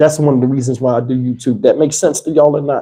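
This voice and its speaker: The voice is dark and mellow, somewhat breathy, with fairly even intonation at a very fast pace. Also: man. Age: 50s. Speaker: YouTuber. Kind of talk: live stream chat. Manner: casual, conversational.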